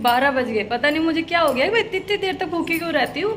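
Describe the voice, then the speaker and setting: A woman speaks over noticeable background noise. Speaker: vlogger. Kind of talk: casual vlog monologue. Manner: conversational.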